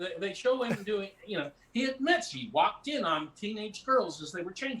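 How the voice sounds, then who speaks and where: Over noticeable background noise, a man with a high pitch speaks in a raised, projected voice at a moderate pace. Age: 60s. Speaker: actor and comedian. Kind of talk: casual chat. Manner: rambling, halting with repetitions.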